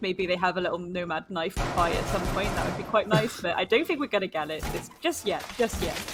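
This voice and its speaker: Speaking with a British accent, a woman uses lively intonation at a medium pitch. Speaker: esports caster. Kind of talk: live commentary.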